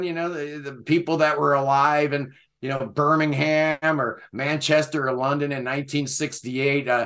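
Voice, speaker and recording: A man with an American accent speaks at a moderate pace. His voice is fairly high, with a bright, sharp tone. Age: 60s. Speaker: prog music YouTuber. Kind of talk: casual chat.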